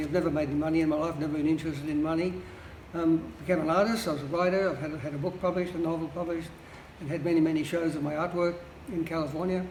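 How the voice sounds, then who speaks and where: Over noticeable background noise and audible room echo, a man speaks with a high pitch and fairly even intonation. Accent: American. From Australia. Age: 80s+. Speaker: public housing tenant, retired lawyer and artist. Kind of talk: interview.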